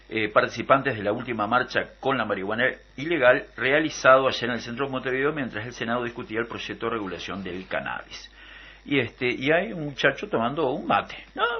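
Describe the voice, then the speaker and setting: A man with a Uruguayan accent speaks at a fairly quick pace. His medium pitch shows ordinary variation. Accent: Rioplatense Spanish (Uruguayan). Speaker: radio host. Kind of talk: radio political debate. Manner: hesitant, many fillers.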